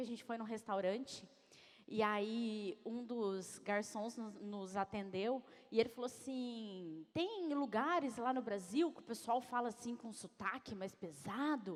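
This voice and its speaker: A woman with a São Paulo interior accent speaks at a fairly high pitch with an animated tone. She keeps a fairly slow pace and ordinary pitch variation. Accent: caipira accent from interior São Paulo. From interior of São Paulo state, Brazil. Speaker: executive coach, speaker. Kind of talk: motivational talk. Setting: stage with audience.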